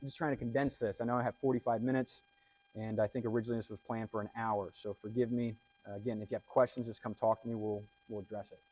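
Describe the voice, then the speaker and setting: A man at a very fast pace, monotone and flat in intonation, with big swings in loudness, a dry, close sound with no echo, and music in the background. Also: medium pitch for a man. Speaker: cybersecurity analyst giving a conference talk. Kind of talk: conference talk. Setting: stage with audience.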